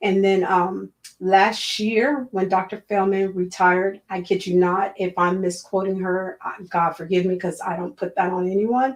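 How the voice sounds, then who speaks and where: In a normal speaking voice with an American accent, a woman speaks at a medium pitch and a moderate pace, with fairly even intonation and hardly any pauses. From Miami, Florida. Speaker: school board candidate, educator. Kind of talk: interview.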